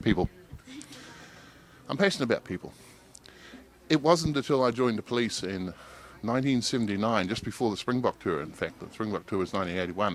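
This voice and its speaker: A man speaks in a New Zealand accent at medium pitch, with lively intonation. His pace is very fast, broken by long, frequent pauses. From New Zealand, King Country. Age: 60s. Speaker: local council candidate. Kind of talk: interview.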